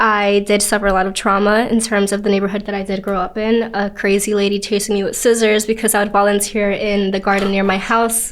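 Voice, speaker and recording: With a Spanish accent, a woman talks fairly quickly at medium pitch, barely pausing. Her intonation stays monotone and flat. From New York City, Queens. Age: 20s. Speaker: actress and content creator. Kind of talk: podcast interview.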